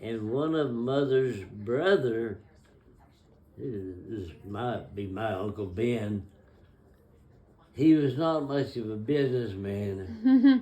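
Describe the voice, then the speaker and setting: At a very slow pace with long, frequent pauses, a man speaks at a medium pitch with lively intonation. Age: 90s. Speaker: grandfather telling family history. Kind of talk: oral history interview. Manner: halting.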